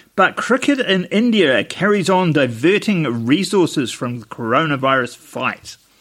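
A man with a New Zealand accent speaks with very wide pitch swings. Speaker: podcast co-host. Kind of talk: casual chat.

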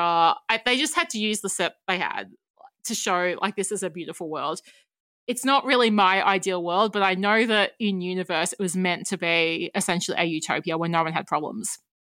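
Recorded very cleanly with a silent background, a woman with an Australian accent speaks at a moderate pace and medium pitch, her tone bright and sharp and her pitch varying normally. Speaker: writer and podcaster. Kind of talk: casual chat.

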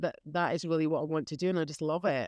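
In a quiet background, a woman speaks with a fairly low pitch. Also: dry, close sound with no echo. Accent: Scottish. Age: 50s. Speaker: beekeeper. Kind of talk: casual interview.

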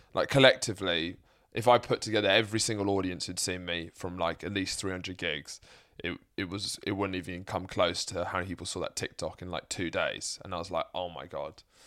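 With a southern English accent and a very deep, low pitch, a man talks at a fairly quick pace in a bright, sharp tone with fairly even intonation, on a very clean recording with a silent background. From southern England (Sussex). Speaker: stand-up comedian. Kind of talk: casual chat.

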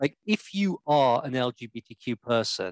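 Lively intonation comes from a man at a medium pitch. He has a normal speaking voice. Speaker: co-host. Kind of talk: casual interview chat.

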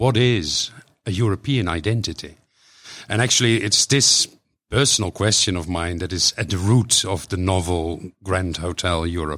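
The speaker has a Dutch accent, a moderate pace and ordinary pitch variation, on a very clean recording with a silent background. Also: man, very deep, low pitch for a man. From Netherlands. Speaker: author and poet. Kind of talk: interview conversation. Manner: halting, hesitant with fillers.

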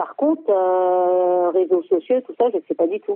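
A woman speaks with lively intonation. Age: 60s. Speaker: helpline user. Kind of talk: testimony. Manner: hesitant.

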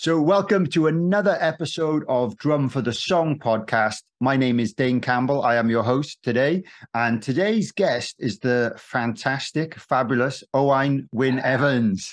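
Against a quiet background, a man in a normal speaking voice talks at a fairly slow pace and medium pitch, with lively intonation, very even loudness and hardly any pauses. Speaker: podcast host and drummer. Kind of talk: casual interview chat.

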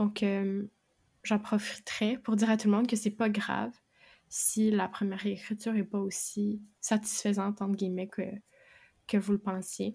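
In a Quebec accent, a woman speaks in a dark, mellow tone, somewhat breathy and monotone, with long, frequent pauses on a very clean recording with a silent background. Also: medium pitch for a woman, moderate pace. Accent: Québécois French. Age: 20s. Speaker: aspiring fantasy novelist and bookseller. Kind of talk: casual interview chat.

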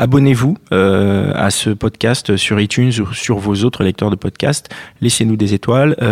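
Here is a man with an unremarkable speaking voice, fairly low in pitch, with ordinary pitch variation and a fairly slow pace. His loudness stays very even, and the sound is dry and close with no echo, on a very clean recording with a silent background. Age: 30s. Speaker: podcast host. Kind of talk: casual chat.

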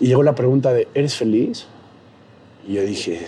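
This man talks at a moderate pace with a medium pitch, an animated tone and lively intonation. Noticeable background noise sits behind him. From Mexico, Puebla. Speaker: comedian and social media creator. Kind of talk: casual interview chat.

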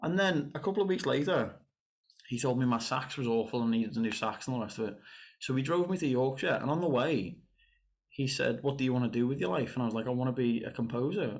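Speaking very fast in a strong Liverpool accent, a man at medium pitch uses lively intonation and very even loudness on a very clean recording with a silent background. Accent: strong Scouse. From northern England, Liverpool. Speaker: saxophonist and composer. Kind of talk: casual chat.

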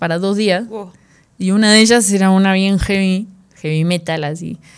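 A woman speaks in a Rioplatense accent at a medium pitch with ordinary pitch variation. Her pace is fairly slow, and the recording is very clean with a silent background. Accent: Argentine Rioplatense Spanish. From Argentina. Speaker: jazz drummer and big band director. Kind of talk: casual chat. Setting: rehearsal room studio.

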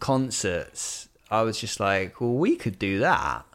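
In a very clean recording with a silent background, a man with a West Country accent speaks very slowly at a medium pitch, his intonation lively. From Bristol, England. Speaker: songwriter and vocal coach. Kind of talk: casual chat.

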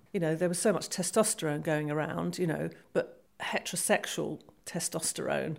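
This woman has a British accent. She talks at a moderate pace. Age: 50s. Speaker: retired police officer. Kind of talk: testimony. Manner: halting.

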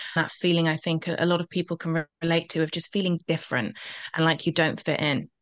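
A woman at a very fast pace, fairly low in pitch and fairly even in intonation. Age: 20s. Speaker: confidence coach. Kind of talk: interview.

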